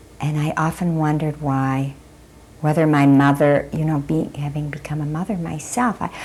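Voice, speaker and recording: Noticeable background noise sits under a woman whose very deep, low voice moves at a moderate pace with fairly even intonation. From Germany and Belgium. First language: German. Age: 60s. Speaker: Holocaust survivor. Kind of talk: oral history testimony.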